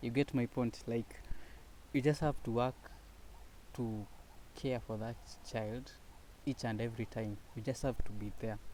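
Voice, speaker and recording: With a dark, mellow tone and medium pitch, a man talks at a fairly slow pace, leaving long, frequent pauses. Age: 20s. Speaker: student and aspiring entrepreneur. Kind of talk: personal vlog monologue. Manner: halting.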